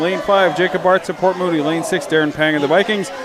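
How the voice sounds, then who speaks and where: A man's high-pitched voice at a fairly quick pace with fairly even intonation, set against noticeable background noise. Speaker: sports commentator. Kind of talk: live commentary. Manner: fast.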